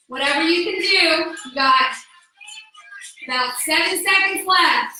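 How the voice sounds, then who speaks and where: A woman raises and projects her voice amid audible room echo. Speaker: fitness instructor. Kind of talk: exercise class instruction. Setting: no microphone, unlike usual class. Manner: loud; energetic.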